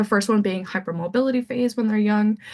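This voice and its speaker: This woman has a Canadian accent and a medium-pitched, somewhat breathy voice. The background is quiet. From Saskatoon, Saskatchewan, Canada. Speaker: anesthesia resident physician. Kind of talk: medical grand rounds lecture.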